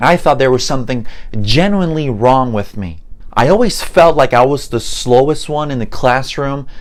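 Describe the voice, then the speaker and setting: The speaker has a Spanish accent. The pace is moderate. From Puerto Rico. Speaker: mentalist and memory expert teaching languages. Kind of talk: online course introduction.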